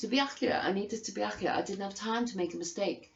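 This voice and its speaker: A woman with a Liverpool accent talks at a fairly quick pace with ordinary pitch variation. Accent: Scouse. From Liverpool, England. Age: 50s. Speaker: vlogger. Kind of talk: angry personal testimony. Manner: animated; halting.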